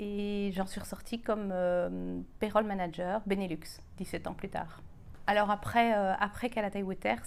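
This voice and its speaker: Her pitch medium, a woman talks at a very slow pace. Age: 40s. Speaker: entrepreneur, payroll business owner. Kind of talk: casual self-introduction. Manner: hesitant with frequent fillers.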